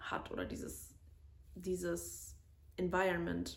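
A woman's voice carries audible room echo. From Germany, near Cologne. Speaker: podcast co-host. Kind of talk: solo personal monologue. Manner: frequent filler sounds (ähm).

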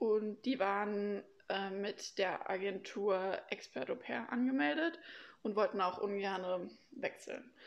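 At a very slow pace, a woman talks with lively intonation and a medium pitch. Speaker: former au pair. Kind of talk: casual interview.

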